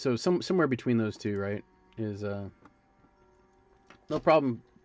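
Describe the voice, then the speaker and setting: Loud and at a moderate pace, a man speaks. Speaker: sculptor and livestreamer. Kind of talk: casual livestream commentary. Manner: hesitant, many fillers.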